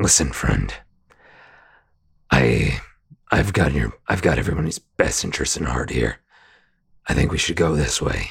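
In a put-on character voice, a man speaks gruff and raspy at a very deep, low pitch, at a fairly slow pace with lively intonation and long, frequent pauses. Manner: persuasive, manipulative.

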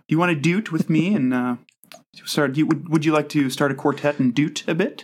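A man with an American accent speaks at a fairly high pitch. His pitch varies in an ordinary way. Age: 30s. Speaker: podcaster. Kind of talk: casual chat. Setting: video call. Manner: animated.

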